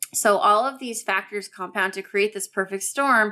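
A bright, sharp tone in an American accent at a moderate pace, on a very clean recording with a silent background. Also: woman. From US, Southern California (Orange County). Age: 30s. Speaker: customer experience consultant and author. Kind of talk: interview.

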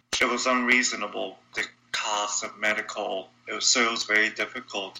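A man talks over noticeable background noise. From Brazil, São Paulo. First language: Portuguese. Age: 20s. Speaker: congenital heart defect survivor. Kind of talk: interview.

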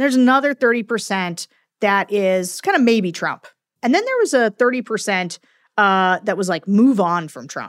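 At a fairly quick pace, a woman with an unremarkable speaking voice, medium pitch, and lively intonation is heard in a very clean, silent recording that is dry and close with no echo. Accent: American. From central Pennsylvania, rural Perry County. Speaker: Republican political strategist. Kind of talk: interview conversation.

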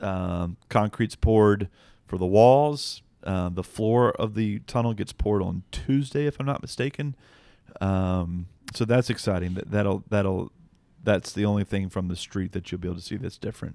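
An unremarkable speaking voice, recorded very cleanly against a silent background. The pitch varies in an ordinary way, and the pace is moderate. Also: man, fairly low pitch for a man. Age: 30s. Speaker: podcast co-host, baseball team assistant general manager. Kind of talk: casual chat.

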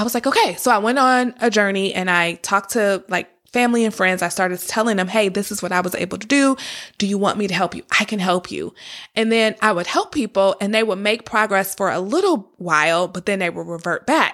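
A woman speaks at a fairly quick pace in an animated tone, with an American accent, medium pitch and ordinary pitch variation. The recording is very clean, with a silent background. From Detroit area, Michigan. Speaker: podcast host, wealth coach. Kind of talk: personal story monologue. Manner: conversational, casual.

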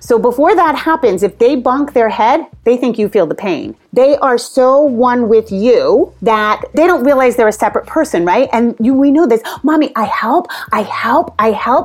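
A woman with a high pitch talks at a moderate pace with hardly any pauses, lively intonation and very even loudness, over noticeable background noise. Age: 50s. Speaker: parenting author and potty training expert. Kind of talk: interview.

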